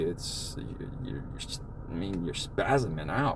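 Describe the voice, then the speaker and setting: Noticeable background noise and audible room echo surround a man speaking in a fairly low voice. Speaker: podcast host living with Tourette syndrome. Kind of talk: personal testimony in casual chat. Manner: halting, with repeated restarts.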